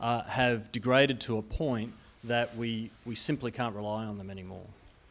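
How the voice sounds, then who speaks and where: A man is speaking. He has an Australian accent. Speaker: conference speaker, utility software industry. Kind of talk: conference presentation. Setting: conference stage with audience. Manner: hesitant, many fillers and restarts.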